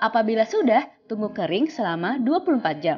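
At a fairly slow pace, a woman with a fairly high voice speaks in very wide pitch swings. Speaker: DIY craft YouTuber. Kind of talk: tutorial.

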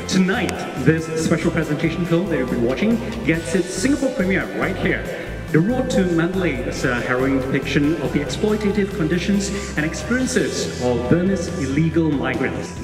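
Fairly quick, high-pitched male speech with lively intonation, clear background music and audible room echo. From Singapore. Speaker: bilingual event emcee. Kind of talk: live gala event hosting. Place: stage. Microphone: handheld.

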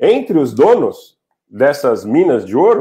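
A man talks against a quiet background. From Brazil, São Paulo. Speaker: commentator on Armenia. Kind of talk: interview. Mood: earnest, explanatory. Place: home room. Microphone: earbuds.

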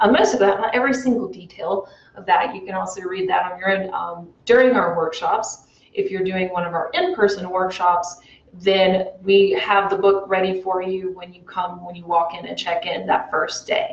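A woman's voice rises and falls sharply in loudness. Room echo is audible around her. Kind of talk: interview answer. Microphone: lapel.

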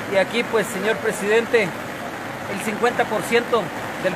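Through loud background noise, a man talks at a fairly slow pace. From Guatemala, Alta Verapaz. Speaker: town mayor. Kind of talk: emergency appeal. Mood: urgent, pleading. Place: rain. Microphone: phone near.

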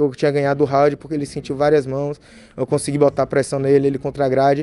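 In a Bahian accent, a man talks at a very fast pace and fairly high pitch, with a dry sound that has no echo. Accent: Bahian Brazilian Portuguese. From Bahia, Brazil (Feira de Santana); Bahia, Brazil. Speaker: MMA fighter. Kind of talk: post-fight interview. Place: meeting room. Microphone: podium.

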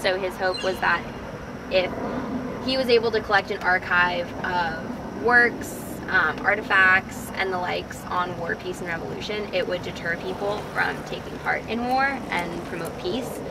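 A woman at a fairly slow pace with ordinary pitch variation, over loud background noise. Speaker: student tour guide. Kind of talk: tour commentary. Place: open country. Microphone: camera far.

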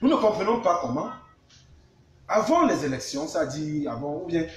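A man with a Cameroonian accent, with light background noise and audible room echo. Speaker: live stream host. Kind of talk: live news discussion, interview. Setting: live online video stream. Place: home room. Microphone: camera far.

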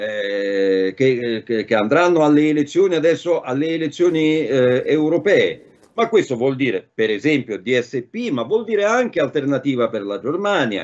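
A man's fairly high voice with very wide pitch swings at a fairly slow pace, against a quiet background. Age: 60s. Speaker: political commentator; remote guest. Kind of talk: talk show discussion. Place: home room. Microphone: video call.

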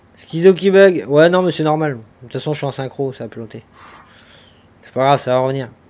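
A man with a fairly high pitch talks at a fairly quick pace, his loudness swinging widely. His pitch varies in an ordinary way, and he pauses long and often. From France. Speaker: gaming streamer. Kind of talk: live gameplay stream chat. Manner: animated.

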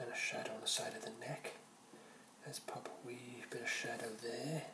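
A soft-spoken voice moves at a moderate pace over loud background noise. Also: man. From Wales. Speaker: caricature artist. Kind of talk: ASMR drawing narration. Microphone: phone near.

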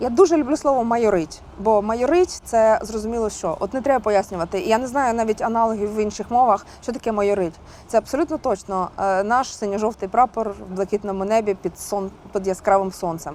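A woman's fairly high-pitched, unremarkable speaking voice with ordinary pitch variation. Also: fairly quick pace. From Kharkiv, Ukraine. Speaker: singer. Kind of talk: interview answer.

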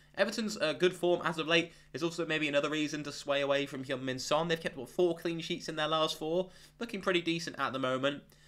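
A very fast man's voice, fairly high in pitch, with ordinary pitch variation. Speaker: fantasy football analyst. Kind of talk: tutorial. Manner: casual, conversational.

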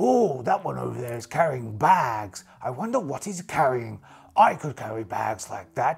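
Putting on a character voice, a man speaks at medium pitch and a moderate pace. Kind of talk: solo RPG character voice. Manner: proud, easily distracted.

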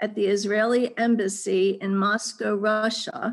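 A woman speaks at a fairly slow pace. Her pitch varies in an ordinary way against a quiet background. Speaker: event moderator. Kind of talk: formal introduction. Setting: video call. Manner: formal. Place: home room. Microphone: video call.

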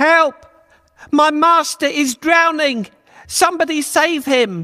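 A put-on character voice at a high pitch. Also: fairly slow pace. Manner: wailing, panicked.

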